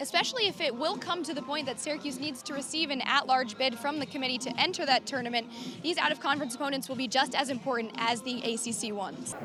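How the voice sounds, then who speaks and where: A woman speaks very fast in a raised, projected voice at a high pitch. Music plays in the background. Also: ordinary pitch variation. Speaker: sports broadcaster. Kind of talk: sports hosting and reporting.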